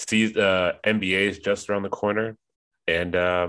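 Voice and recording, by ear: A man's low, nasal voice with a clear, smooth and fairly bright tone, a fairly slow pace and little pitch movement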